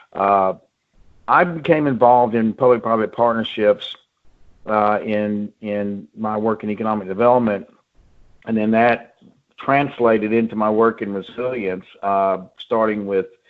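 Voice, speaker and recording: Speaking fairly slowly in a New Orleans accent, a man uses a fairly low pitch and fairly even intonation. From US South, New Orleans. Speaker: economic development and resilience expert. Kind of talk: webinar presentation. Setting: home office, video call.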